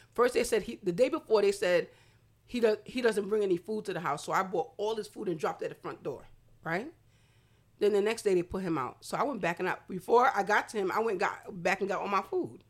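In an American accent, a woman with an ordinary speaking voice talks at a medium pitch and a fairly quick pace with ordinary pitch variation. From Brooklyn, New York, Haitian family. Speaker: non-profit founder. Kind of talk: casual chat.

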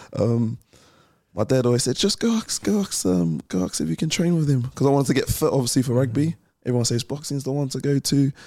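In a New Zealand accent, a man speaks at a very fast pace with a dark, mellow tone, medium pitch and very wide pitch swings, on a very clean recording with a silent background. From New Zealand (West Auckland), born in London. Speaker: professional boxer. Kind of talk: interview.

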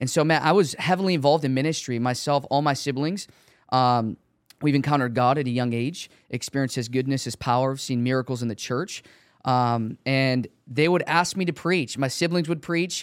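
A man talks at a fairly quick pace in an ordinary speaking voice with a medium pitch and ordinary pitch variation. The recording is very clean, with a silent background. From Chicago. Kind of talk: testimony. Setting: studio.

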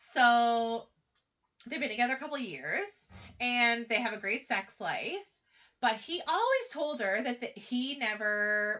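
Loud and very slow, a woman speaks in a high voice with lively intonation. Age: 30s. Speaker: podcast co-host. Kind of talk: casual chat.

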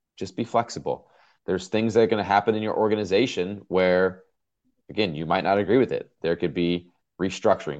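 With an American accent and a plain, everyday voice, a man talks at a fairly quick pace. His pitch is fairly low with ordinary variation, over a quiet background. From Southern California. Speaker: fire captain. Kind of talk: interview.

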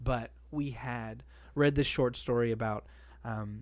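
At a fairly slow pace, a man uses an ordinary speaking voice with medium pitch and ordinary pitch variation, in a very clean recording with a silent background. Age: 30s. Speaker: comedian. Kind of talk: casual chat.

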